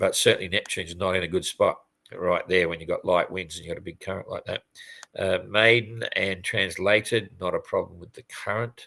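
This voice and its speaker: The man talks at a fairly quick pace, his loudness swinging widely. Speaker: sailing race commentator. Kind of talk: live race update commentary. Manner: fast; casual, hesitant with fillers.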